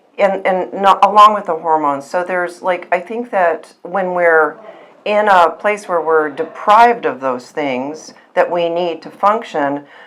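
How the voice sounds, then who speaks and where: Noticeable background noise sits behind a woman with a fairly low pitch. She speaks at a fairly slow pace with ordinary pitch variation. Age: 60s. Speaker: patient sharing testimonial. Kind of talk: testimony. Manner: halting.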